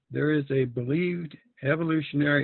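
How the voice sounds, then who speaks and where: Delivery is fairly slow, and the intonation stays fairly even. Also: man. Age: 60s. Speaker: member giving a talk. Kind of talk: reading aloud a prepared talk.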